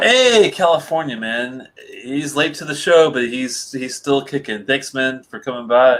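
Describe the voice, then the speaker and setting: A man speaks at a fairly slow pace in a normal speaking voice. His pitch is fairly high, and his loudness swings widely. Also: ordinary pitch variation. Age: 40s. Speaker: whisky reviewer. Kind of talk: casual chat.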